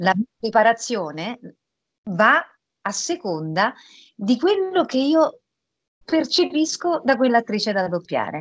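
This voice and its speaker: Very wide pitch swings mark this very slow delivery, broken by long, frequent pauses over a quiet background. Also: woman, fairly high pitch for a woman. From Rome, Italy; Italy. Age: 40s. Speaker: voice actress. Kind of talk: interview. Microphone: video call.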